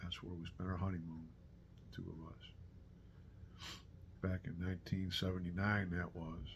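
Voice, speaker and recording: With a very deep, low, somewhat breathy voice, a man speaks at a moderate pace in a monotone, flat intonation, leaving long, frequent pauses, with audible room echo. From Western New York. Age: 60s. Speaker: retired backpacker vlogger. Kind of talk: casual monologue. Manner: halting, many fillers and repeats.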